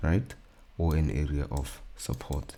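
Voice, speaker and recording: A man speaks in a very deep, low voice with a dark, mellow tone. He is somewhat breathy and goes at a fairly slow pace. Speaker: trading educator. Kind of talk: tutorial. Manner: casual.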